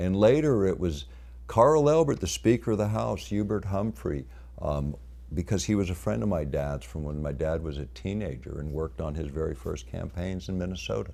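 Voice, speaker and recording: A man with a very deep, low voice and a dark, mellow tone speaks with lively intonation and vocal fry, with audible room echo. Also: moderate pace. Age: 60s. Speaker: lecturer. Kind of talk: lecture. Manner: unscripted, halting with fillers.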